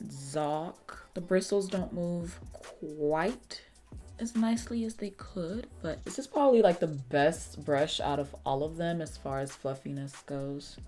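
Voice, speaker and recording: A woman's fairly low voice, lively in intonation and very slow in pace, with music in the background. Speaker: beauty YouTuber. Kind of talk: casual talk to camera.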